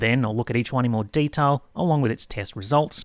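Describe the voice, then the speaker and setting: Fairly quick speech with an Australian accent and lively intonation, dry and close with no echo, on a very clean recording with a silent background. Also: man. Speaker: tech product reviewer. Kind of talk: scripted narration. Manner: animated.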